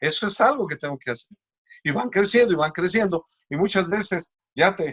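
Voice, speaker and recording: A man's normal speaking voice, at a moderate pace with lively intonation. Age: 60s. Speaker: preacher. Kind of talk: sermon.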